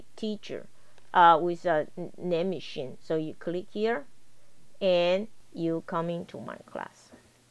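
Speech at a very slow pace carries ordinary pitch variation. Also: woman. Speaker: college instructor. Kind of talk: tutorial. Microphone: video call.

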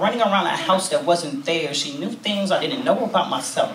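Light background noise and audible room echo accompany a man with an American accent. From California. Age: 20s. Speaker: spoken word poet. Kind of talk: spoken word performance. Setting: stage with audience. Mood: intimate, reflective. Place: cafe.

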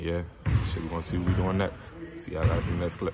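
At a fairly quick pace, a man talks through loud background noise. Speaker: basketball player vlogger. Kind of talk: casual vlog chat. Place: gym. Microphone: phone near.

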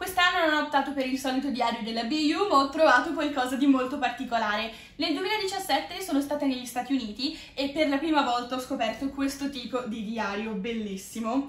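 The pitch moves in an ordinary way, and the pace is fairly quick. Some room echo can be heard. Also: woman, high pitch for a woman. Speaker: video creator. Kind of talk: casual vlog chat. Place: home room. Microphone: camera far.

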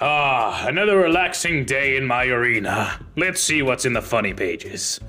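A man performs a put-on character voice at a medium pitch. Light background noise sits behind him. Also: moderate pace. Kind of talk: comic parody dub. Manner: smug, casual, self-satisfied.

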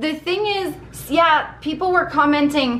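A woman's fairly bright tone at a moderate pace, with ordinary pitch variation.

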